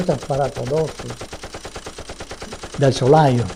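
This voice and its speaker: A man's dark, mellow tone with ordinary pitch variation. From Veneto, Italy. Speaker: war veteran. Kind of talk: testimony. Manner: halting.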